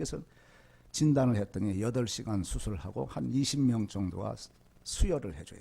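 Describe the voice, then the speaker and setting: Using a fairly low, dark, mellow, somewhat breathy voice, a man speaks with very wide pitch swings and big swings in loudness. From rural South Korea. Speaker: lay preacher, former prosecutor. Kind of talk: sermon with personal testimony. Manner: fast.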